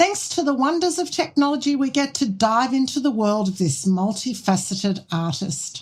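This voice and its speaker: Her voice is somewhat breathy. The woman's pitch swings very widely. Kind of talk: podcast host introduction.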